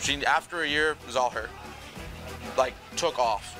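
A man's voice with fairly even intonation over clear background music. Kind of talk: interview answer. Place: cafe. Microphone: lapel.

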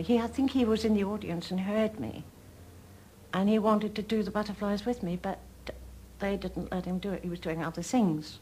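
A woman speaks at a fairly quick pace and medium pitch. Her tone is dark and mellow, and somewhat breathy. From Lancashire, England. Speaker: retired opera singer. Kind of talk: TV documentary interview answer.

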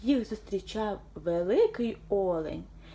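Lively intonation shapes the delivery. It is reading aloud in a natural voice.

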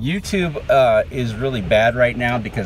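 A man's very deep, low voice, dry with no echo, over music in the background. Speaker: video creator. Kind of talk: casual vlog chat. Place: car. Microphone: phone near.

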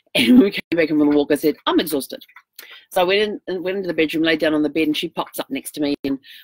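Over a quiet background, a woman talks very fast at a very deep, low pitch, her pitch varying in an ordinary way, in a dry sound with no echo. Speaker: RV traveler vlogger. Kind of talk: casual vlog chat. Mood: cheerful, laughing storytelling. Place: home room. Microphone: webcam.

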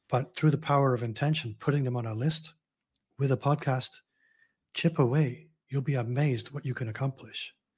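The voice is somewhat breathy, moving at a fairly quick pace with fairly even intonation. The background is quiet. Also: man. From Scotland, Glasgow. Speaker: personal branding consultant; podcast guest. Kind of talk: casual interview conversation. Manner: easygoing. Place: home room.

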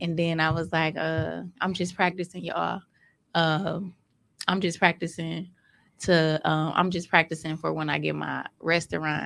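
This woman's fairly low voice has vocal fry and a monotone, flat intonation. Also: moderate pace. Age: 30s. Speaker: vegan food entrepreneur. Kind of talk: casual interview.

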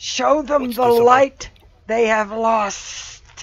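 A put-on character voice, fairly high in pitch, comes through with hissing. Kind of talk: speaking draconic in a game.

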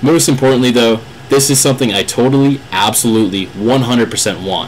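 A man speaks at medium pitch. Noticeable background noise can be heard. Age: 20s. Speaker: college student and aspiring gear tester. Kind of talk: video application pitch. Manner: enthusiastic, animated.

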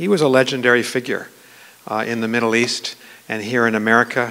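A man races along at a very fast pace with fairly even intonation. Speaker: guest lecturer. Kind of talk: formal lecture opening remarks. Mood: warm, lightly humorous. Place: hall. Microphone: podium.

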